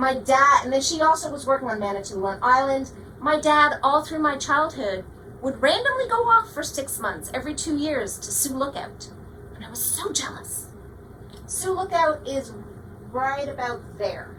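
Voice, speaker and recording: A woman speaks at a moderate pace in a raised, projected voice, high-pitched and animated, with lively intonation and big swings in loudness. Audible room echo and noticeable background noise fill the recording. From Canada, Toronto. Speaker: astronomy professor and planetarium director. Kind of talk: public lecture. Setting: planetarium with audience.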